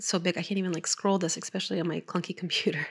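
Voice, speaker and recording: This raspy, put-on character voice races along at a very fast pace with fairly even intonation. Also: woman, medium pitch for a woman. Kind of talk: conversational. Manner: muttering to self, casual.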